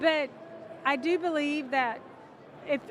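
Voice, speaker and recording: Noticeable background noise is present. Over it, a woman's intonation is lively. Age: 60s. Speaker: minister. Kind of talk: casual interview conversation. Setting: convention interview.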